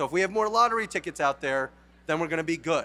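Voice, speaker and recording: A man speaks with a New York accent, in a high pitch and a bright, sharp tone. He sounds animated, with lively intonation. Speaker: company founder. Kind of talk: conference talk.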